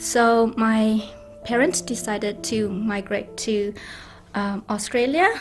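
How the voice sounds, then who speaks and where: Over music in the background, the speech moves at a very slow pace with fairly even intonation. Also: woman, fairly high pitch for a woman. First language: not English. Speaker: nurse, former refugee. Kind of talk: testimony interview.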